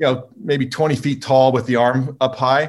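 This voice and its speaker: A man's medium-pitched, somewhat breathy voice with an American accent at a fairly quick pace. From California. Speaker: drone company co-founder and engineer. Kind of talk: casual interview.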